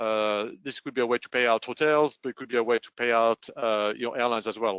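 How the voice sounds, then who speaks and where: A man talks very fast in a French accent with monotone, flat intonation. His loudness swings widely. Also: medium pitch for a man. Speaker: payments consultant. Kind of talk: webinar presentation. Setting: online webinar. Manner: hesitant, many fillers.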